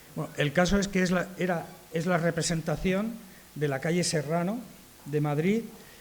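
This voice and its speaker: Audible room echo surrounds a man's high-pitched voice. He speaks at a moderate pace. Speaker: arborist association speaker. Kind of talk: conference talk. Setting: conference with audience.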